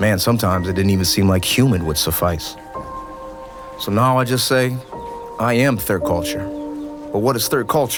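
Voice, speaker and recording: Over music in the background, a man with a fairly low pitch and lively intonation speaks at a moderate pace, leaving long, frequent pauses. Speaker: spoken word poet. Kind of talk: spoken word poetry performance.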